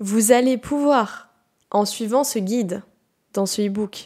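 In a very clean recording with a silent background, a woman speaks at a fairly high pitch in a dark, mellow tone, with ordinary pitch variation. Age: 20s. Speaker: naturopath and health podcaster. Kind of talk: solo educational podcast monologue. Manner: casual, conversational with fillers.

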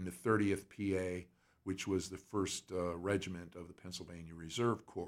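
The voice moves at a fairly slow pace in a monotone, flat intonation. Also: man. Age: 70s. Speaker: blues singer and harmonica player. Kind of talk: casual interview chat.

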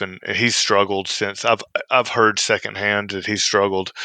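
In a Southern US accent, a man with a fairly low pitch and a bright, sharp tone talks at a moderate pace in a flat monotone, the sound dry and close with no echo and a quiet background. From Mississippi. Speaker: former federal prison inmate. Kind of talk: interview. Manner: halting, frequent fillers and repeats.

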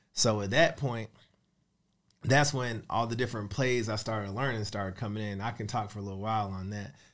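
A man talks at a fairly quick pace and a fairly low pitch. It is an ordinary speaking voice with fairly even intonation. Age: 30s. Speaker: real estate investor and mentor. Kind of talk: interview. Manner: casual.

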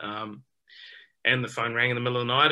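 A man talks with a New Zealand accent at a medium pitch. His tone is bright and sharp, and his intonation is monotone and flat. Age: 30s. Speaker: professional cricketer. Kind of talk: interview.

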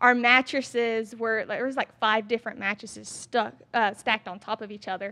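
Against a quiet background, a woman with a Southern US accent talks at a fairly quick pace with hardly any pauses, her fairly high, bright, sharp voice monotone and flat in intonation yet showing big swings in loudness. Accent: Southern American. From US South, Georgia (Statesboro). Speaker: fitness influencer. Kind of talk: casual interview. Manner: talkative.

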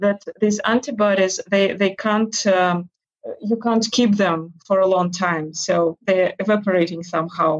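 A woman with a Russian accent speaks fairly slowly, with fairly even intonation and very even loudness. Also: medium pitch for a woman. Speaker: interview guest. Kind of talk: casual interview. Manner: halting, many fillers.

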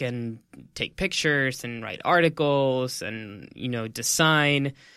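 A man with an American accent speaks at a medium pitch in a bright, sharp tone with ordinary pitch variation, in a very clean recording with a silent background. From El Paso, Texas. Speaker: journalist and news host. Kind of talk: casual interview.

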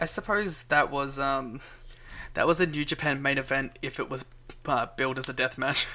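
Speaking with an Australian accent, a man uses a fairly high pitch and a bright, sharp tone with ordinary pitch variation at a moderate pace. The recording is very clean, with a silent background. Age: young. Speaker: wrestling podcast co-host. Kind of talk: casual chat. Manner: soft-spoken.

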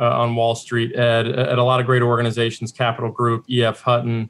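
A man talks at a fairly quick pace and medium pitch. Noticeable background noise is present. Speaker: managing director of a conference forum. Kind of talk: interview. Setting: video call.

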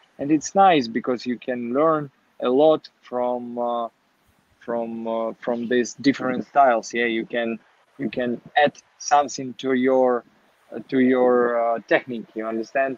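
Speaking at a fairly slow pace in a Ukrainian accent, a man uses a medium pitch and fairly even intonation. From Ukraine, Kharkiv. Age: 20s. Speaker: professional boxer. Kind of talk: interview. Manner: halting.

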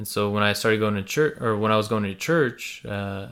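At a fairly quick pace, a man with a fairly low pitch talks with ordinary pitch variation. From US, Slavic immigrant family. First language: Russian and Ukrainian. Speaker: podcast co-host. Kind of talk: casual discussion.

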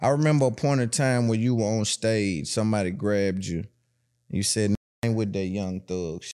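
A speaker with a Tennessee accent talks at a moderate pace with ordinary pitch variation. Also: man, fairly low pitch for a man. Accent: Southern US, Tennessee. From Tennessee, US South. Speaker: podcast host. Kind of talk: casual interview chat.

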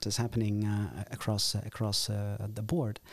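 Fairly low-pitched male speech with a Dutch accent at a moderate pace, on a very clean recording with a silent background. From Netherlands. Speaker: political science lecturer. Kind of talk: interview. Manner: halting, many fillers and repetitions.

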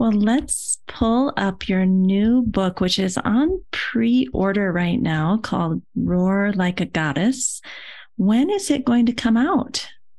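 The delivery is somewhat breathy and very slow. The background is quiet. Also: woman, medium pitch for a woman. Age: 50s. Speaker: podcast host and yoga therapist. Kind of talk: scripted intro; interview. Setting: video call.

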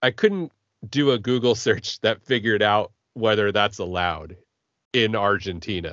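A man talks at a moderate pace in a plain, everyday voice. His pitch varies in an ordinary way. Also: fairly low pitch for a man. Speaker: podcast host. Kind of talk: casual chat.

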